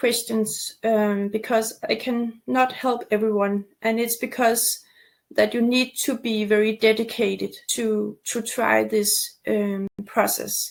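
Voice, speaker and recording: Hardly any pauses break up a woman's speech, which moves at a very slow pace. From Denmark, near Copenhagen. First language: Danish. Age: 40s. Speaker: torticollis recovery coach. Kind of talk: webinar presentation with sales pitch. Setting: online webinar. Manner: halting, many fillers.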